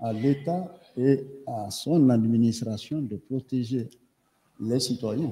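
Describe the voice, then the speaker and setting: A man speaks at a very slow pace, somewhat breathy. He leaves long, frequent pauses, and his pitch varies in an ordinary way. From Guinea. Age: 70s. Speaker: medical doctor and professor testifying as witness; professor testifying as witness. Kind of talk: court testimony. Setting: courtroom. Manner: formal. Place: hall. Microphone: podium.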